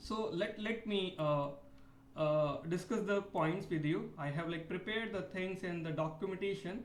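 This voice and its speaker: A man with an Indian accent, high-pitched, at a fairly slow pace, his intonation fairly even, with audible room echo. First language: Hindi. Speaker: PhD research scholar. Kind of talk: video complaint monologue. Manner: halting, many fillers.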